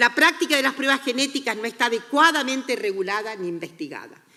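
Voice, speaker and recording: Her high voice has a bright, sharp tone as the woman speaks with lively intonation. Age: 70s. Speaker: sociologist and gender studies researcher. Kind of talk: conference talk.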